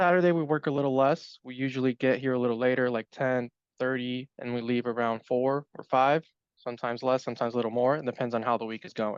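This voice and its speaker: A man at medium pitch, talking at a very fast pace with fairly even intonation, in a dry, close sound with no echo. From Brazil. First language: Portuguese. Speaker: life insurance agent. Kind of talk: interview.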